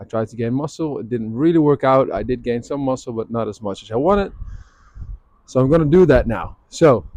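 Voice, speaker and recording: At a fairly quick pace, a man speaks at medium pitch in a dark, mellow tone, with lively intonation and big swings in loudness. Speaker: fitness vlogger. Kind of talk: casual vlog monologue. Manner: hesitant, many fillers.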